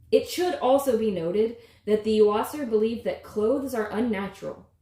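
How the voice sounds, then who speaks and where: Speaking at a moderate pace, a woman uses a fairly high, somewhat breathy voice with ordinary pitch variation. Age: 30s. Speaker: author. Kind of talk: reading aloud.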